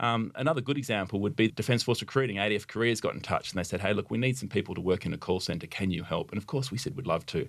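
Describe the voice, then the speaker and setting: With an Australian accent, a man speaks at a very fast pace and a fairly low pitch, with hardly any pauses and ordinary pitch variation, in a very clean recording with a silent background. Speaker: army officer. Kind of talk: interview. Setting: studio.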